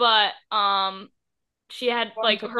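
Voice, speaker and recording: An ordinary speaking voice from a woman, fairly high in pitch, with fairly even intonation. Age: 20s. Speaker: podcast co-host. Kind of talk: casual chat.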